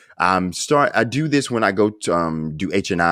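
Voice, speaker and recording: In a very clean recording with a silent background and a dry, close sound with no echo, a man talks with a Southern US accent. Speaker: podcast host. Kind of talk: interview. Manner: halting.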